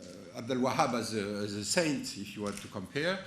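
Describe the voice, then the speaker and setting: In a French accent, a man talks at a fairly quick pace, with audible room echo. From France. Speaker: conference speaker, analyst. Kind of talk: conference talk. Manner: halting, many false starts.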